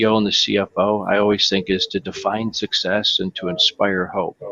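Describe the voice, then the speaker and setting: Noticeable background noise sits behind a man with a Michigan accent. He talks at a fairly quick pace with hardly any pauses. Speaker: software company executive. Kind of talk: panel discussion.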